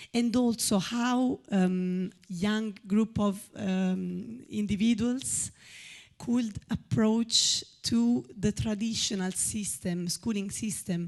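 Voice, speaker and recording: In an Italian accent, a woman speaks very slowly with a medium pitch, ordinary pitch variation and a somewhat breathy sound. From Italy. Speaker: audience member asking a question. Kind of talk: audience question at a public talk. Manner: halting, many fillers.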